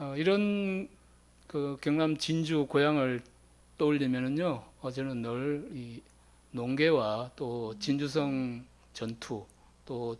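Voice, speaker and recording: The speech moves at a very slow pace with long, frequent pauses. The recording is very clean, with a silent background. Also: man. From South Gyeongsang, Korea (Jinju). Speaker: teacher. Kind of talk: lecture.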